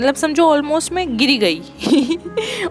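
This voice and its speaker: A woman speaks with music in the background. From Uttarakhand, India. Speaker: lifestyle vlogger. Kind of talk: casual vlog talk to camera.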